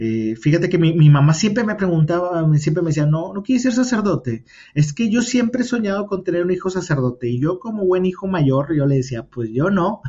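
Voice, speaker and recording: Speaking at a fairly quick pace with hardly any pauses, a man uses a high pitch that swings very widely. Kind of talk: casual interview. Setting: remote call.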